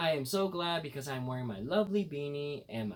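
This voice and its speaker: Somewhat breathy and upbeat in tone, the voice moves at a fairly quick pace with very wide pitch swings. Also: man. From United States. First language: bilingual English and Khmer. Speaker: vlogger. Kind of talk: casual talk to camera.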